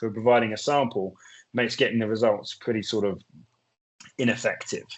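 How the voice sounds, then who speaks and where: Talking at a fairly quick pace, a man with a British accent uses a medium pitch. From UK. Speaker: drug testing expert. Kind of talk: webinar presentation. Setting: webinar video call.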